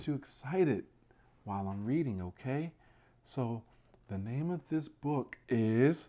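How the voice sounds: The intonation here is lively. It comes in a natural reading voice.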